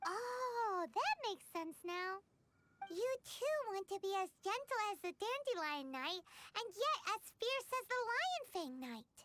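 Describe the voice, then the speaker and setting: A squeaky, put-on character voice at an extremely high pitch, delivered at a fairly slow pace. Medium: video game. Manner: friendly, curious.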